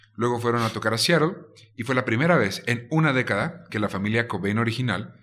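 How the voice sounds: Someone reads in a natural voice.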